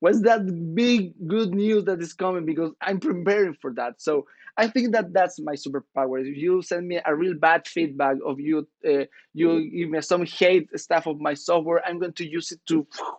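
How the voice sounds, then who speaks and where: This man has a high voice with ordinary pitch variation. He talks at a moderate pace. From northern Chile. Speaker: startup founder. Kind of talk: podcast interview. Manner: energetic.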